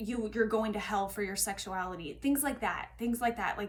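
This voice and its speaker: The voice carries vocal fry. Its intonation is fairly even. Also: woman. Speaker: tarot reader. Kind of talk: tarot reading monologue. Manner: halting.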